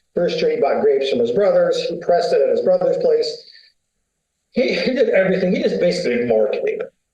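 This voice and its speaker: An American-accented man speaks at a very fast pace, with audible room echo around him. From USA. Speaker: winery founder. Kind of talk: interview conversation. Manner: casual, colloquial.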